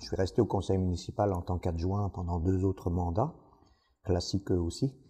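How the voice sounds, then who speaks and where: Against a quiet background, a man with a very deep, low pitch and a dark, mellow tone speaks somewhat breathily at a moderate pace with ordinary pitch variation. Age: 60s. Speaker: village mayor. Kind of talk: interview monologue. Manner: hesitant, many fillers.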